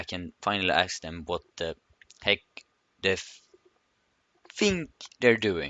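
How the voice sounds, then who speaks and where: A man with a non-native accent, very deep and low in pitch, at a fairly slow pace, with ordinary pitch variation, big swings in loudness and long, frequent pauses. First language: not English. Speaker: gaming youtuber. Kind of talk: reading aloud. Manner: halting.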